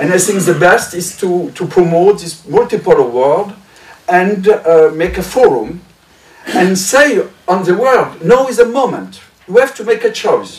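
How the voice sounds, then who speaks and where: With a French accent, a man speaks in a high pitch at a fairly slow pace. His intonation is lively, and there is noticeable background noise. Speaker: member of European Parliament. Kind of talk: roundtable audience comment. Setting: press club roundtable. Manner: halting.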